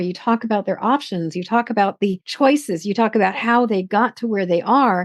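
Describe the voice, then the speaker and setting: An unremarkable speaking voice from a woman, fairly high in pitch, with ordinary pitch variation and a moderate pace. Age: 60s. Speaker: podcast host. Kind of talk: casual interview conversation.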